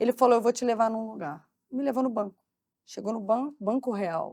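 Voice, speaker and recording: A woman's fairly high-pitched voice at a fairly quick pace, dry and close with no echo. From Brazil, Barra Mansa (Rio de Janeiro state). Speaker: marketing executive. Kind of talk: interview conversation.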